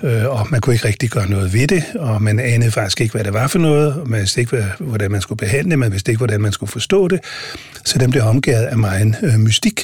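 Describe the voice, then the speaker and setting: Over noticeable background noise, a man speaks very fast at a medium pitch. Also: ordinary pitch variation. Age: 60s. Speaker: senior hospital physician. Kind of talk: interview. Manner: hesitant with many fillers.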